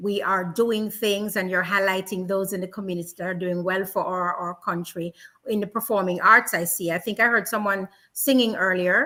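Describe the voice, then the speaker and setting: A woman at medium pitch with a strong Jamaican accent, fairly even intonation and a bright, sharp tone. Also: moderate pace. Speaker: radio host and community ambassador. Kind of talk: casual interview.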